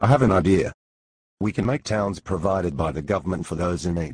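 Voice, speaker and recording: Putting on a character voice, a man growls at a very deep, low pitch and a fairly quick pace. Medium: comedy sketch.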